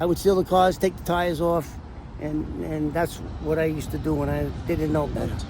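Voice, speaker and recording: A man with an American accent talks at a fairly quick pace against noticeable background noise. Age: 60s. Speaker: former mob informant. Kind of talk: casual chat. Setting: outdoors. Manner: animated.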